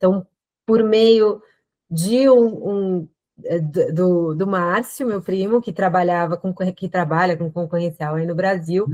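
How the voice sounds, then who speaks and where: Using a normal speaking voice, a woman at medium pitch speaks fairly slowly with lively intonation. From Brazil. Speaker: lawyer. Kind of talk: interview.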